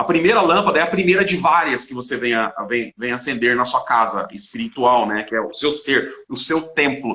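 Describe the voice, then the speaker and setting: Here a man speaks with a bright, sharp tone. His pitch swings very widely. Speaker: Bible study teacher. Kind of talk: Bible study live stream. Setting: live stream. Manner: fast.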